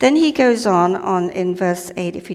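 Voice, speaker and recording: This woman has a non-native accent and a medium pitch. She talks at a fairly slow pace with ordinary pitch variation. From Malaysia. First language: not English. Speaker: lay preacher. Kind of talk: sermon. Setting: church. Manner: casual, hesitant.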